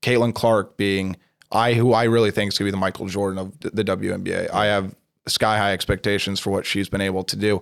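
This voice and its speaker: A man's fairly low voice, monotone and flat, at a very fast pace on a very clean recording with a silent background. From Nebraska and southern Utah. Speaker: sports journalist. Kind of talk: casual interview.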